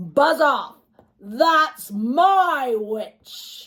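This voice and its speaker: This is a put-on character voice that sounds female. It is shrill and high-pitched. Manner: threatening, shouting.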